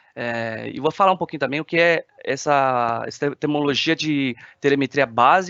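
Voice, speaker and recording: With a non-native accent, the speaker shows ordinary pitch variation. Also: man. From China. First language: Chinese (speaking Portuguese). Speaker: application engineer. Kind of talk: webinar presentation. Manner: hesitant, many filler sounds.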